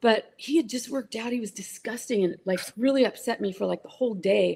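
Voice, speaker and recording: A woman speaks at a fairly quick pace with a fairly high pitch and ordinary pitch variation. Her tone is dark and mellow, with vocal fry. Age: 60s. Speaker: former model and author. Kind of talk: interview.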